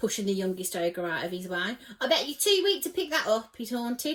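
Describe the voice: What's heard is plain reading aloud.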